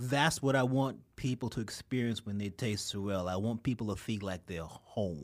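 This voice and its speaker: Moderate pace in a New York accent. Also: man. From New York, Queens. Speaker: liqueur entrepreneur. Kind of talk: casual chat.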